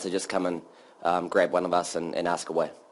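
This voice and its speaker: A man talks at a very fast pace with a New Zealand accent. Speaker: developer evangelist. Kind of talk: conference talk. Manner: casual, many filler ums.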